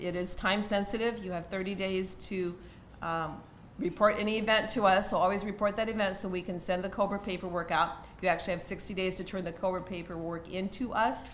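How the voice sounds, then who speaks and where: A woman with a medium pitch talks fairly quickly in a flat monotone. Her voice carries audible room echo. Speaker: university HR benefits staff. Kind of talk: presentation. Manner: fast; halting.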